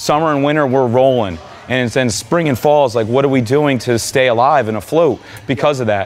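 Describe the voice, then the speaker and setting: With light background noise behind him, a man speaks at a fairly quick pace, his loudness very even and his pitch variation ordinary. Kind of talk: interview answer. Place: gym.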